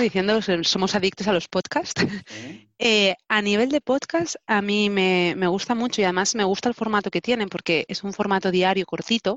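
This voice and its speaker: At a medium pitch and moderate pace, a woman speaks in a plain, everyday voice with ordinary pitch variation. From Spain, Barcelona. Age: 30s. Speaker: telecommunications engineer. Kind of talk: interview. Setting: video recording.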